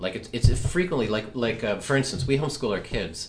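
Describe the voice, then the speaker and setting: With lively intonation and a fairly quick pace, a man talks in a room with audible echo. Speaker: comic strip creator and podcast co-host. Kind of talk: casual chat.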